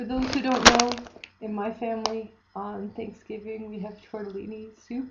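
A woman speaks at a fairly slow pace with fairly high pitch. Light background noise is present. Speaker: vlogger. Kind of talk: casual vlog. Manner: low-energy. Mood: cheerful, amused. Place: home room. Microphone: webcam.

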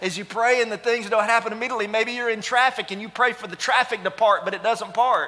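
A man's raised, projected voice at a very fast pace, with hardly any pauses and fairly even intonation. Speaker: pastor. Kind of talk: sermon. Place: church. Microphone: headset.

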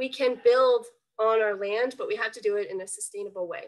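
Against a quiet background, a woman with an unremarkable speaking voice talks at a moderate pace and a fairly high pitch, with ordinary pitch variation. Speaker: environmental education coordinator; environmental educator. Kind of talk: webinar presentation. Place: home room. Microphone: webcam.

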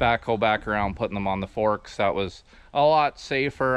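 In a plain, everyday voice, a man with a fairly low pitch talks at a moderate pace with ordinary pitch variation, the sound dry with no echo. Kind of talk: casual vlog chat. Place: open country. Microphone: phone near.

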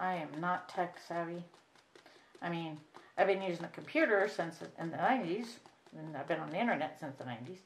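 A fairly low-pitched woman's voice with an American accent, moderate pace, long and frequent pauses, ordinary pitch variation and light background noise. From US Midwest. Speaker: reborn doll artist, video creator. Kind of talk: painting tutorial. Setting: home craft table, camera. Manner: casual, halting with fillers. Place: home room. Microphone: camera far.

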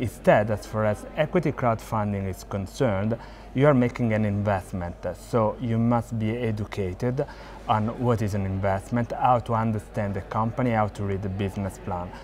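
A plain, everyday voice from a man, fairly low and fairly quick, with fairly even intonation and light background noise. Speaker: interviewee. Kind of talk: interview answer. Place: hall. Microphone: lapel.

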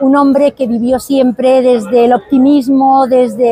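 The voice moves at a fairly slow pace with fairly even intonation, and the sound is dry, with no echo. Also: woman. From Spain, Huesca (Aragon); Aragon, Spain. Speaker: pianist and researcher. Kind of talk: interview. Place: street.

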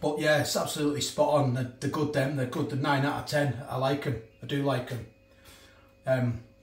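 A man speaks at a fairly quick pace with monotone, flat intonation. Audible room echo fills the space. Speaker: food reviewer. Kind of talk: casual vlog chat. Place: kitchen. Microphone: phone near.

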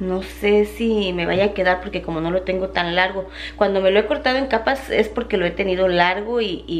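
Her delivery moves at a moderate speed. This woman's pitch varies in an ordinary way. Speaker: vlogger. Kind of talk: casual vlog chat. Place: kitchen. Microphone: phone near.

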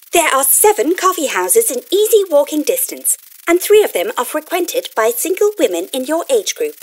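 A put-on character voice that sounds female. It is pitched extremely high and moves at a moderate pace. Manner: chirpy, eager, pushy.

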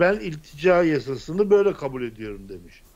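This is a man with an ordinary speaking voice. He talks at a moderate pace with lively intonation. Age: 60s. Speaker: political commentator. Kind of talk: political panel discussion. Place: home room. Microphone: studio mic.

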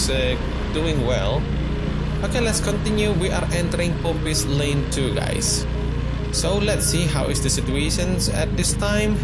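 A man at a fairly slow pace with music in the background. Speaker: local driver vlogger. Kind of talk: casual tour commentary. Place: motorbike.

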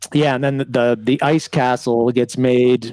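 Against a quiet background, a man talks at a moderate pace in a flat monotone, his tone dark and mellow and the sound dry with no echo. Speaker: remote podcast co-host. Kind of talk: casual podcast conversation. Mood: relaxed, chatty. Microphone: headset.

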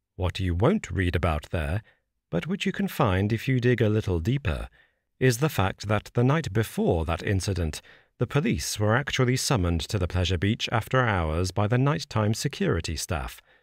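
Here a man in an ordinary speaking voice talks at a moderate pace and fairly low pitch, his intonation lively and loudness very even, on a very clean, dry, close recording with no echo and a silent background. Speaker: audiobook narrator. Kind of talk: horror story narration, read aloud. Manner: measured, serious.

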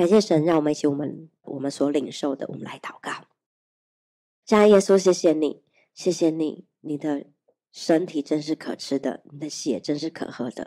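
Against a quiet background, a woman speaks at a moderate pace in a dark, mellow tone, her pitch very deep and low with ordinary variation. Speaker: pastor. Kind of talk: sermon. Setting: church. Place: church. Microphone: handheld.

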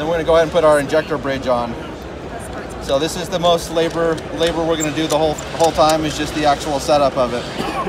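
A man talks at a very fast pace. Noticeable background noise can be heard behind him. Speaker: glass repair tool company rep. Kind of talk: product demonstration. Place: hall. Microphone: phone near.

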